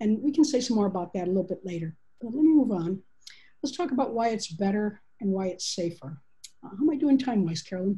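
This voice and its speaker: A woman speaks at a very fast pace with very wide pitch swings, her tone dark and mellow and somewhat breathy. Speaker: agile consultant and author. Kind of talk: panel presentation. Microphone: video call.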